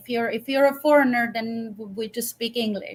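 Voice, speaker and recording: With a Swedish accent, a woman speaks in a high pitch and with fairly even intonation. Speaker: professional violinist. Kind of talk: interview. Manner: halting, many repetitions.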